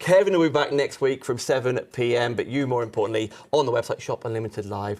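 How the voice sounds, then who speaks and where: At a very fast pace, a man talks with hardly any pauses. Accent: British. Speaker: live shopping presenter. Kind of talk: live sales show.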